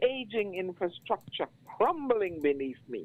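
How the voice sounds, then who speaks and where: A woman with a Bajan accent, fairly low in pitch, at a fairly slow pace. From Barbados. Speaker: poet. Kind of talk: poetry reading.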